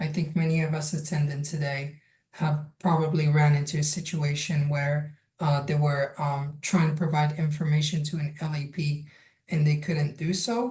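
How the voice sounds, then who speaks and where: A woman speaks at a very deep, low pitch. Her tone is dark and mellow and somewhat breathy. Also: fairly even intonation, moderate pace. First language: Arabic, French and Spanish. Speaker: language access project manager. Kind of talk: online workshop presentation.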